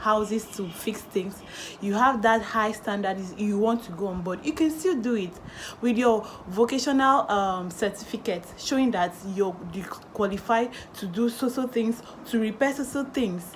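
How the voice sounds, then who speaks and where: At a moderate pace, a woman talks with ordinary pitch variation over light background noise. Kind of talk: tutorial. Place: home room. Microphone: phone near.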